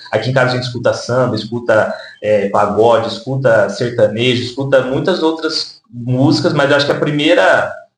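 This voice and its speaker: Moderate pace with hardly any pauses, plus audible room echo. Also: man, medium pitch for a man, ordinary pitch variation. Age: 20s. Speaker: social worker and rapper. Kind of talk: interview. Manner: hesitant with fillers.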